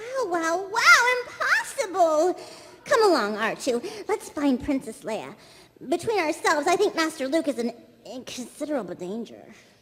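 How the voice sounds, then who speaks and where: An extremely high-pitched put-on character voice with very wide pitch swings at a moderate pace. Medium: stage play. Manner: fussy, overly polite.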